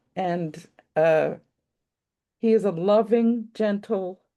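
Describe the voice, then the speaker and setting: A woman speaks with a dark, mellow tone and ordinary pitch variation. The background is quiet. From Quebec. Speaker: friend introducing the speaker. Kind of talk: spoken tribute. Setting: video call on a laptop.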